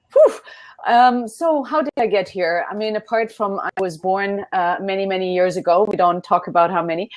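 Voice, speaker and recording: At a moderate pace, a woman speaks with a German accent, medium pitch and ordinary pitch variation. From Germany. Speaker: business consultant. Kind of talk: interview.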